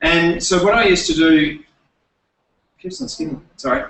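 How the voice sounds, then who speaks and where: Speaking with an Adelaide accent, a man keeps a moderate pace at a fairly high pitch. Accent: Australian (Adelaide). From Australia, Adelaide. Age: 30s. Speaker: presenter and former teacher. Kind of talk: presentation workshop. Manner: halting, many fillers and repeats.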